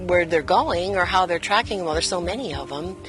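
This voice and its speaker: Fairly low-pitched woman with lively intonation, music playing in the background. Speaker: desert resident interviewed for news story. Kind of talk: interview answer.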